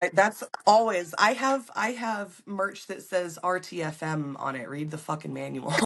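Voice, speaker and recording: Speaking in a normal speaking voice, a woman has a fairly low pitch and a fairly slow pace. Her intonation is lively and her loudness swings a lot. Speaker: appliance repair technician. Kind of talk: podcast interview answer.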